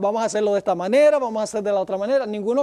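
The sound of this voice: The voice is an unforced reading voice with ordinary pitch variation.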